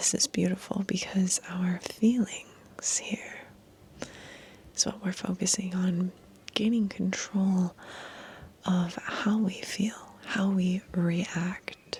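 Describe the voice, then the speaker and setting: Noticeable background noise underlies very slow speech. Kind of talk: ASMR numerology reading / guided meditation. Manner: soft, whispered.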